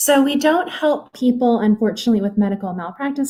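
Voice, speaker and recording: Soft-spoken and somewhat breathy, a woman with a dark, mellow tone talks at a moderate pace with ordinary pitch variation. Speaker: legal aid worker. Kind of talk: public presentation.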